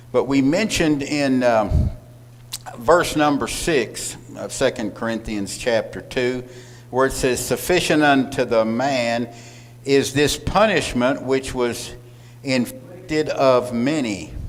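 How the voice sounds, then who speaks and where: With audible room echo, a man of medium pitch speaks at a very slow pace with ordinary pitch variation. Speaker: Bible class teacher. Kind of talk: Bible class lecture. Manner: loud.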